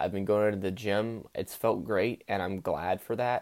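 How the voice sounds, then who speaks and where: A man speaks in a monotone, flat way at a fairly low pitch on a very clean recording with a silent background. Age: 18. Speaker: college student journaling. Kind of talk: solo audio journal. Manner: many filler words; unscripted, spontaneous.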